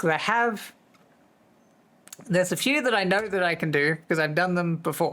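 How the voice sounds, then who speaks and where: This man speaks at a fairly slow pace in a high pitch, with a bright, sharp tone and ordinary pitch variation, on a very clean recording with a silent background. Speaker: livestreamer. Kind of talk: casual chat. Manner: chatty, rambling with fillers.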